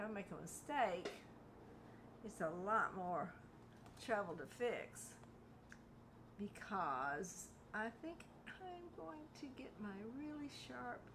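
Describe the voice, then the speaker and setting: With audible room echo, a woman speaks very slowly with long, frequent pauses, her medium pitch swinging very widely. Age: 70s. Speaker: hobby painter and crafts video maker. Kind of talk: casual crafting tutorial. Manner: chatty, informal.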